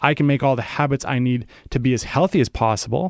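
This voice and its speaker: A man's unremarkable speaking voice, fairly high in pitch and fairly quick in pace, in a dry, close, very clean recording with no echo and a silent background. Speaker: health writer. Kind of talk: radio interview.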